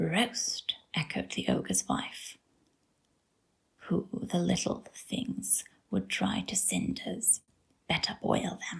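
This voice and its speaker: A soft-spoken, gentle tone at a very slow pace, with long, frequent pauses. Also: woman. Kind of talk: sleep story reading.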